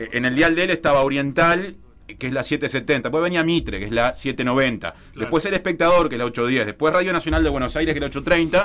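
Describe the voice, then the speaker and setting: With a Uruguayan accent and a fairly high pitch, a man speaks at a moderate pace with hardly any pauses, big swings in loudness, and ordinary pitch variation. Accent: Uruguayan Rioplatense Spanish. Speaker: sports journalist and football commentator. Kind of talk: radio column, casual discussion.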